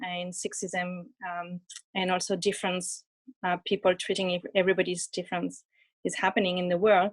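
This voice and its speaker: With a French accent, the speaker holds a moderate pace. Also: woman. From France. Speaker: audience member. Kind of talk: audience question. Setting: live event with audience. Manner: halting.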